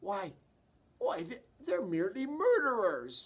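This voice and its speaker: In a put-on character voice, the speaker goes at a fairly slow pace with a fairly high pitch. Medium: read story.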